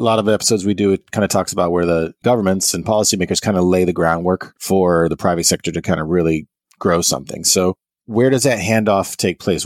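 A man talks at a very fast pace in a fairly low voice, the sound dry and close with no echo. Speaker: podcast host. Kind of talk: interview, with scripted intro.

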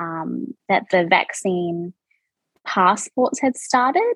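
Speaking very slowly with a New Zealand accent, a woman uses a medium pitch. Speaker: reality TV contestant. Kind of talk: casual interview chat.

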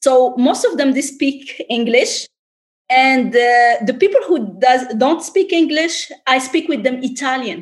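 Speaking at a fairly slow pace, a woman uses a high pitch in a French accent. Her pitch moves in an ordinary way. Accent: foreign, French-tinged. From Tunisia. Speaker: entrepreneur and travel influencer. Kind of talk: interview.

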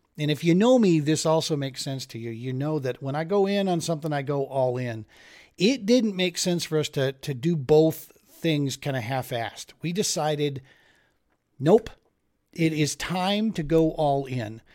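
A man with an unremarkable speaking voice, fairly high pitch, lively intonation and a moderate pace, on a very clean recording with a silent background. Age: 40s. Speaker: fishing podcast host. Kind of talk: casual monologue.

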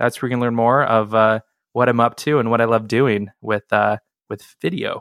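The speaker has an American accent and keeps a moderate pace. The sound is dry and close, with no echo. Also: man, medium pitch for a man, fairly even intonation. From US Pacific Northwest, Seattle. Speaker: filmmaker and video marketing coach. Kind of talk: interview. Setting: remote recording.

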